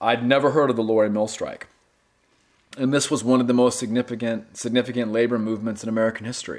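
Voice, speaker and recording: In a North Carolina accent, a man speaks at a medium pitch in a very clean recording with a silent background. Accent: US Southern (North Carolina). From North Carolina (Gastonia, western NC). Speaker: novelist. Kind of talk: interview.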